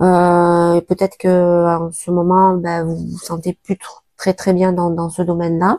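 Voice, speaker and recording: A woman with a fairly low pitch and a dark, mellow tone speaks very slowly in a monotone, flat intonation, the sound dry and close with no echo in a very clean recording with a silent background. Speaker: tarot reader. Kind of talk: tarot reading. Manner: hesitant, many filler sounds.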